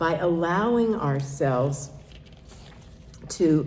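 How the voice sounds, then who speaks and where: A woman at a very slow pace with lively intonation, plus audible room echo. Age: 70s. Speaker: minister. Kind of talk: sermon. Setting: church service.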